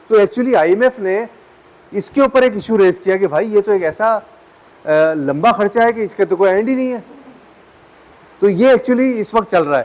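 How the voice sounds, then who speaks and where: Amid noticeable background noise, a man speaks at a moderate pace in a high pitch with ordinary pitch variation and long, frequent pauses. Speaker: lecturer. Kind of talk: lecture. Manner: conversational, halting with self-corrections.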